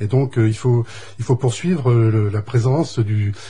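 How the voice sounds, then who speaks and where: This man speaks at a medium pitch, his tone dark and mellow and his voice somewhat breathy. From western France (Deux-Sèvres). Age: 60s. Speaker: election candidate. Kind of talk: radio interview.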